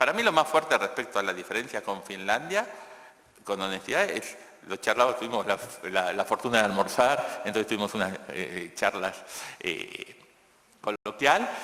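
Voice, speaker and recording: Over noticeable background noise, a man with a Rioplatense accent and a fairly low voice speaks at a moderate pace with lively intonation and long, frequent pauses. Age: 60s. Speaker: economist and education speaker. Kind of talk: conference Q&A answer. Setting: conference stage with audience. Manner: halting with repetitions.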